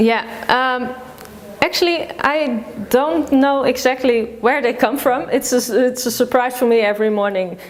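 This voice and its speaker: A woman with a high pitch and a Dutch accent, at a moderate pace with ordinary pitch variation, very even loudness, long, frequent pauses and noticeable background noise. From Netherlands. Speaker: food vlogger. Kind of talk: interview. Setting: office. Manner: halting.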